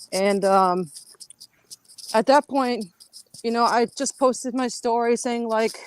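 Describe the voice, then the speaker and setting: A woman with a fairly high pitch speaks fairly slowly, her intonation fairly even. Long, frequent pauses break up her words, and the sound is dry and close with no echo. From Milwaukee, Wisconsin. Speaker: army veteran and former police officer. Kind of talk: interview on a live online show.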